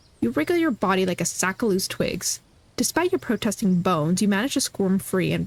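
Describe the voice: The clip consists of plain reading aloud.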